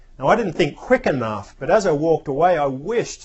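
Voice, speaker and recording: With an Australian accent, a man talks at a moderate speed. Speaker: spiritual speaker. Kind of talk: reflective talk.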